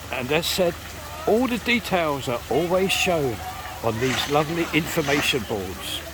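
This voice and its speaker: Noticeable background noise sits under a man's voice. He talks at a fairly slow pace with very wide pitch swings. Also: fairly high pitch for a man. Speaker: local vlogger and tour guide. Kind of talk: walking tour narration. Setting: outdoors at a zoo.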